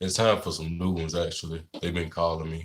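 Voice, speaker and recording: A man speaks with a very deep, low pitch and fairly even intonation. His tone is relaxed. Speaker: livestreamer, mukbang creator. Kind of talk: casual livestream chat. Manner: relaxed, hesitant with fillers.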